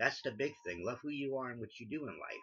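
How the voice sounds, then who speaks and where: At a fairly quick pace, a man speaks in a bright, sharp tone at medium pitch with ordinary pitch variation. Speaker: crossdresser vlogger. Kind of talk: casual vlog monologue. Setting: bedroom. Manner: attempting a feminine voice; halting, repeats words.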